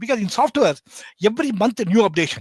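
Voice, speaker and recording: A man talks at a very fast pace with a Bengali accent. His pitch is extremely high, and the sound is dry and close with no echo. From India. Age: 60s. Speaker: embedded systems educator. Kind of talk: podcast interview. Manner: halting.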